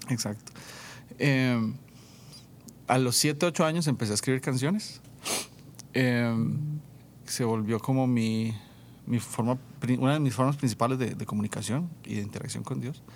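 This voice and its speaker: With ordinary pitch variation, a man at medium pitch talks in an ordinary speaking voice. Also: moderate pace. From Costa Rica, rural San Vito de Coto Brus. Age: 30s. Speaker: worship leader and musician. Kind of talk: casual interview testimony.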